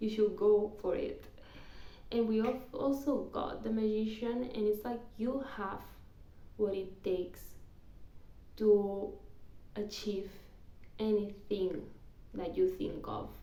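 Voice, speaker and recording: Audible room echo surrounds a woman with a non-native accent and a dark, mellow tone. She speaks at a very slow pace with fairly even intonation and long, frequent pauses. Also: fairly high pitch for a woman. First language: not English (English is third language). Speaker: tarot reader. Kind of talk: tarot reading; casual personal aside. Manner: halting with repetitions.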